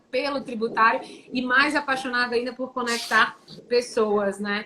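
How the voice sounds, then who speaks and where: At a moderate pace, a woman talks in a high pitch with ordinary pitch variation, over noticeable background noise. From Brazil, Teresina, Piauí. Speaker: tax lawyer and entrepreneur. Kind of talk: live-stream interview. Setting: online live stream.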